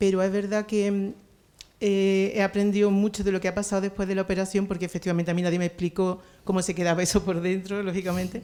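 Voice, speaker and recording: Over a silent background on a very clean recording, the voice runs at a very fast pace with a dark, mellow tone and monotone, flat intonation. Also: woman, medium pitch for a woman. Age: 60s. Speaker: cancer patient asking a question. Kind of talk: audience question at a talk. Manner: halting.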